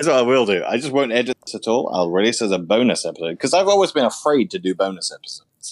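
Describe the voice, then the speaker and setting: A man with a British accent talks at a very fast pace with hardly any pauses and very wide pitch swings. The sound is dry and close with no echo. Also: medium pitch for a man. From United Kingdom. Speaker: podcast host. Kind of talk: casual chat.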